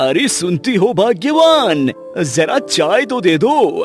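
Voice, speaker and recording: Faint music plays in the background while a man in a cartoonish character voice speaks at a high pitch, fairly slowly, with very wide pitch swings. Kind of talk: comic overacting. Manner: gruff, blustering.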